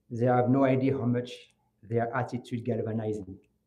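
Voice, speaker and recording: A dark, mellow tone, somewhat breathy, delivered at a moderate pace with a French accent. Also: man. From France (Grigny, south of Paris), Moroccan family. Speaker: law student, scholarship essay winner. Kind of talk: memorial speech. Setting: ceremony with audience. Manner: halting.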